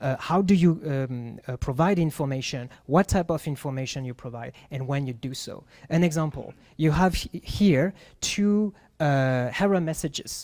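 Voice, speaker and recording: With a French accent, a man speaks at a moderate pace and fairly high pitch with ordinary pitch variation, in a very clean recording with a silent background. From France. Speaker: UX writer / content designer. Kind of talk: presentation talk at meetup. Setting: meetup with live audience. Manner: halting, many fillers.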